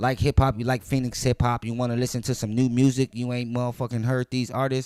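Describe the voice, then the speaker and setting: At a very fast pace, a man talks in a medium pitch with monotone, flat intonation and a dry, close sound with no echo. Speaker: hip hop podcast host. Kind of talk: casual music review monologue.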